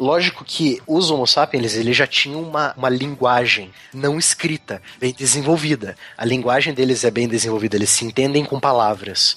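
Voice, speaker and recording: Against noticeable background noise, a man speaks fairly quickly in a fairly high voice with ordinary pitch variation. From southern Brazil, Curitiba (Paraná). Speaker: science podcast co-host. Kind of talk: casual chat.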